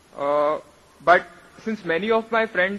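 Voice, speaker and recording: A man with a high-pitched voice talks with ordinary pitch variation, and noticeable background noise is audible. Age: young. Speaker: audience member asking a question. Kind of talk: audience question at public event. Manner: hesitant, with filler uh.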